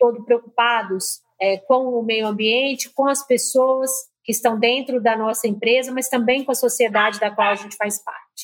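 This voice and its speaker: A woman speaks with a strong Minas Gerais accent at a fairly high pitch. Her intonation is monotone and flat, at a moderate pace. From Minas Gerais, Brazil. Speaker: marketing executive. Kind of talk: interview.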